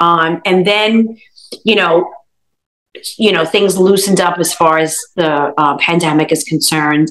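Over a quiet background, a woman with an American accent talks at a fairly slow pace in an ordinary speaking voice, her fairly low pitch held to fairly even intonation and very even loudness. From Brooklyn, New York; New York. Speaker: food blogger. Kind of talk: interview answer. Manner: casual, conversational. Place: kitchen. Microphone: video call.

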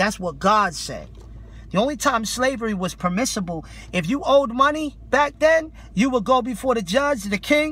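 A man's extremely high, bright and sharp voice, passionate in tone with lively intonation, in dry sound with no echo. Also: moderate pace. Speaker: street preacher. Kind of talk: street preaching rebuttal, impassioned sermon. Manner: forceful, passionate, confrontational. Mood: indignant, scolding. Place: car. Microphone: phone near.

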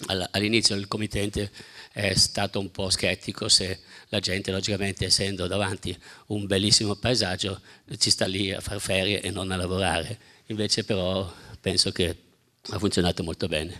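With long, frequent pauses, a man speaks at a moderate pace and a fairly low pitch. His intonation is monotone and flat, on a very clean recording with a silent background. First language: German (speaking Italian). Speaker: architect. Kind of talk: lecture. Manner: halting.

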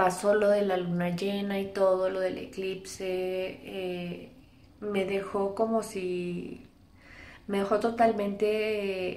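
A woman's flat, monotone voice at a very slow pace, with audible room echo. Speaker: vlogger. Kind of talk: casual vlog chat. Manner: weary, low-energy, drained voice. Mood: weary, subdued. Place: home room. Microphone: phone near.

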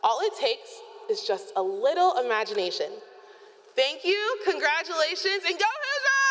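A woman with an American accent speaks at an extremely high pitch, her pitch swinging very widely. Her loudness stays very even. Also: moderate pace. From Illinois. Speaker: student speaker. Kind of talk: student commencement speech. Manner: earnest, reflective. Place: stadium. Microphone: podium.

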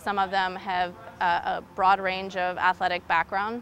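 With light background noise and dry sound with no echo, a woman speaks fairly slowly in a bright, sharp tone with monotone, flat intonation. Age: 30s. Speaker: nurse anesthetist and gym member. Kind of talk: interview answers. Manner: hesitant, many fillers. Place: gym. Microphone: lapel.

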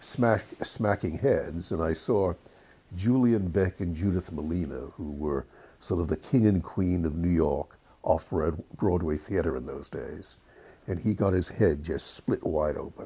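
A man with a very deep, low voice and a dark, mellow tone speaks with an American accent. His delivery is somewhat breathy and fairly slow, with ordinary pitch variation. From England, raised in the USA. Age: 80s+. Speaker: screenwriter. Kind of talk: interview answer.

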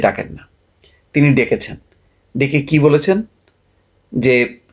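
This man has an ordinary speaking voice set at a fairly high pitch. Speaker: political commentator. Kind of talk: political commentary monologue.

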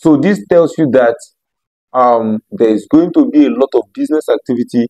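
A man with a dark, mellow tone and lively intonation over a quiet background. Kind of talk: promotional talk to camera. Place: home room. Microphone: lapel.

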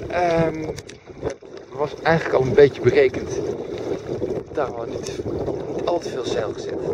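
Dry, echo-free audio with noticeable background noise, a moderate pace and long, frequent pauses. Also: man. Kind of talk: casual vlog chat. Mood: relaxed, contented. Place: boat. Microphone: phone near.

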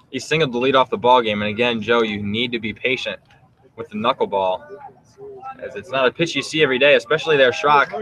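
Noticeable background noise sits behind a man with a medium pitch. He talks at a very fast pace with ordinary pitch variation. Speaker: color commentator. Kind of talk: live sports commentary, analysis between pitches. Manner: relaxed, conversational, informative.

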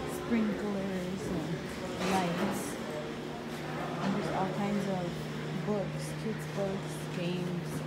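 Over loud background noise, a woman talks at a very slow pace, leaving long, frequent pauses. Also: ordinary pitch variation. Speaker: vlogger. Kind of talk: casual vlog chat. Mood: excited, chatty. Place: factory. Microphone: phone near.

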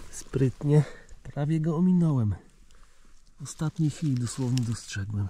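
Speaking very slowly with ordinary pitch variation, a man sounds somewhat breathy in a dry recording with no echo and light background noise. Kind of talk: casual vlog chat. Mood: cheerful, pleased. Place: forest. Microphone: phone near.

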